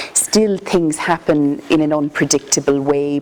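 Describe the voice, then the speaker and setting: This woman's voice sits very deep and low. She speaks at a moderate pace over noticeable background noise. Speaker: palliative care consultant. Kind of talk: lecture. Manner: soft-spoken.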